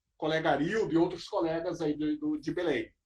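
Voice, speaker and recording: Using very wide pitch swings, a man with a southern Brazilian accent talks at a moderate pace. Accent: gaúcho Brazilian Portuguese. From southern Brazil, Porto Alegre. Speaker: federal auditor. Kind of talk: lecture.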